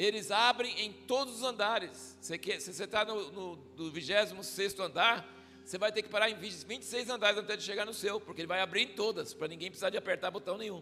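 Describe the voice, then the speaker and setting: In a raised, projected voice, a man with a high pitch and ordinary pitch variation talks in an animated tone at a very fast pace with hardly any pauses. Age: 60s. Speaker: visiting pastor. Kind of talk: sermon. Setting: church. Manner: conversational, animated.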